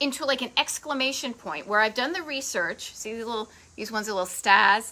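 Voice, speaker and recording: A woman speaks at a fairly high pitch. Her tone is animated. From Massachusetts, Boston area. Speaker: travel video host. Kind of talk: live stream chat. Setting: facebook live stream from home.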